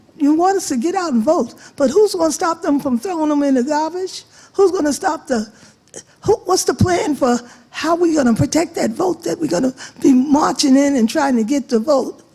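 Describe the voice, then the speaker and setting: With an American accent, a woman speaks at a moderate pace, high in pitch, with lively intonation over noticeable background noise. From Long Island, New York. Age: 80s+. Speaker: audience member asking a question. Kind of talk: question at public forum.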